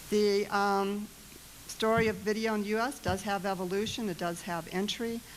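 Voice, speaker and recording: A woman's medium-pitched voice in an American accent, flat and monotone at a moderate pace, with audible room echo. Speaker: government competition official. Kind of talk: conference presentation.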